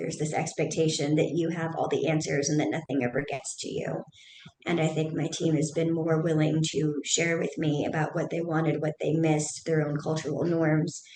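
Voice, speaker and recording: A woman with an American accent, very deep and low in pitch, monotone and flat, over noticeable background noise. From US Midwest. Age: middle-aged. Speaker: business owner and CEO. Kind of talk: podcast interview. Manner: fast.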